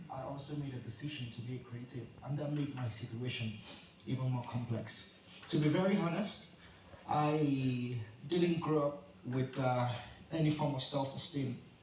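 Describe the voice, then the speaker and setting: A man with a Nigerian accent speaks at a moderate pace. The recording has audible room echo and noticeable background noise. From Lagos, Nigeria. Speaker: reality show contestant. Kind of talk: testimony. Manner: halting.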